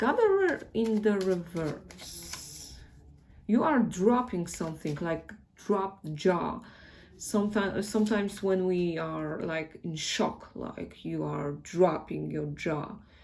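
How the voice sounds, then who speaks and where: A woman with a Polish accent speaks at a very slow pace, and audible room echo surrounds her voice. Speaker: tarot reader. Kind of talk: tarot reading. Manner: casual, hesitant.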